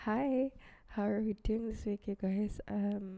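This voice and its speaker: The woman has a dark, mellow tone and fairly even intonation. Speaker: podcast host. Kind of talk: casual solo podcast talk. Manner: casual, many fillers.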